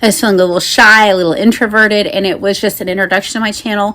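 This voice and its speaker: The voice is a woman's. Behind it sits noticeable background noise. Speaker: BookTuber; mother. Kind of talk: casual talk to camera.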